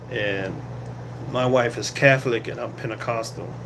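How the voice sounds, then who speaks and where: A man speaks at medium pitch, with audible room echo. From Boston, Massachusetts. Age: 60s. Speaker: security guard and vlogger. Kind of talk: casual live-stream chat. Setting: guard shack on night shift. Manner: halting with many fillers.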